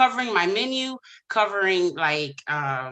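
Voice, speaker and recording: Loud and bright, with a sharp tone, the voice swings very widely in pitch. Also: woman. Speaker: small business pitch contestant, event host and cook. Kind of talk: Q&A answer; business pitch. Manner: loud, boisterous; hesitant with many fillers.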